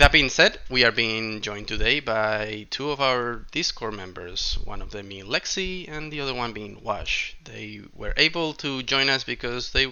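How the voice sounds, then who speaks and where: With a non-native accent, the speaker uses lively intonation at a moderate pace. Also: man. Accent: noticeable non-native. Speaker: card game content creator. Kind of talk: video intro narration. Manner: hesitant, many fillers.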